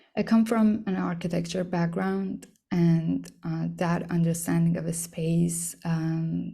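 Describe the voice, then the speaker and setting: A woman's voice with audible room echo. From Iran. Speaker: artist. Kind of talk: artist talk. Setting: talk to an audience. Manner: hesitant, many fillers.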